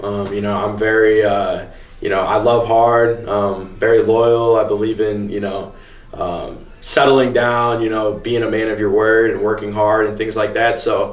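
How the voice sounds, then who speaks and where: A man's fairly low voice, flat and monotone, at a fairly slow pace. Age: 20s. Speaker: vintage clothing store owner. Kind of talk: interview answer.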